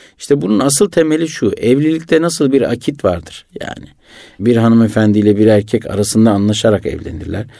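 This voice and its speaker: Talking at a fairly quick pace, a man with a medium-pitched, dark and mellow voice uses lively intonation. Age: 40s. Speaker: entrepreneur, businessman. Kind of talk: radio interview. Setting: radio studio.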